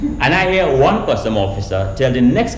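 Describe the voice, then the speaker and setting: A man in a Trinidadian accent, with audible room echo and light background noise. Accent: Caribbean, Trinidadian. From Trinidad and Grenada. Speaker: storyteller. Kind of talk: live storytelling show to an audience. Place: stage.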